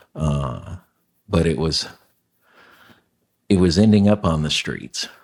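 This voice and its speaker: A man speaks in a very deep, low pitch at a very slow pace. His pitch variation is ordinary. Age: 60s. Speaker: homelessness nonprofit founder. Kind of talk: interview testimony. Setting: podcast. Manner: halting, with many fillers.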